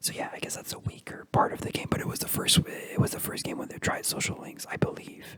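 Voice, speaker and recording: Someone whispers over noticeable background noise. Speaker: ASMR creator. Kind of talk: ASMR video game ramble. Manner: whispered.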